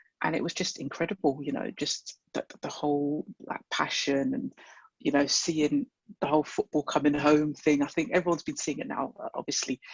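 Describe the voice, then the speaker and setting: Here a man talks with a London accent. His pitch is fairly high for a man, and his pace is fairly quick. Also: ordinary pitch variation. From London (Wembley). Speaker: football fan. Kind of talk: interview. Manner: halting.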